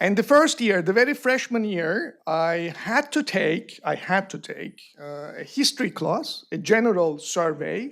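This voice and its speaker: A man with a Turkish accent speaks at a fairly slow pace with hardly any pauses. His high pitch swings very widely, and his loudness shifts in big swings. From Turkey. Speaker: panel speaker at academic forum. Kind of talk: panel discussion.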